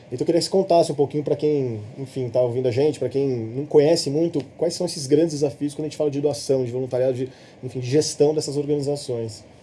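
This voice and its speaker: Barely pausing, a man speaks very fast at a fairly high pitch with fairly even intonation. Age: 30s. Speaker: social entrepreneur. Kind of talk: podcast interview conversation. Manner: halting, frequent repetitions.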